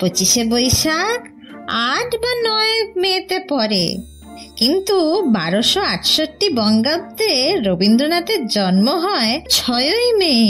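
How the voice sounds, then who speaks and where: A put-on character voice at a high pitch, with very wide pitch swings and a very slow pace. Clear music sounds in the background. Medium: audio drama. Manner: teasing, caws between sentences.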